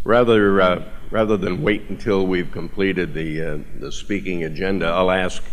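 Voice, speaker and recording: A man's very deep, low voice with an American accent, moderate pace and fairly even intonation. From Massachusetts. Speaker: chamber of commerce president and event moderator. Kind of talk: event emcee and forum moderation. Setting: stage with audience, microphone. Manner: loud. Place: hall. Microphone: podium.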